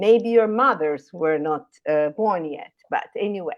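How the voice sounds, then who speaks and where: A woman with a Brazilian Portuguese accent, lively intonation and a fairly slow pace. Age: 60s. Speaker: retired scientist, professor. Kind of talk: career talk at online panel.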